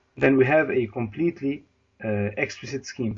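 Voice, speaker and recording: At a moderate pace, a man talks in a somewhat breathy voice of medium pitch with ordinary pitch variation. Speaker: university lecturer. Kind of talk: lecture. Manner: halting.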